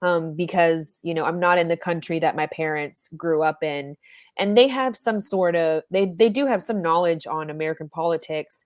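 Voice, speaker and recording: In a very clean recording with a silent background and a dry, close sound with no echo, a woman with a plain, everyday voice speaks at a moderate pace, her fairly low pitch showing ordinary variation. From US South. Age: 20s. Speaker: podcast host. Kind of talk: casual chat.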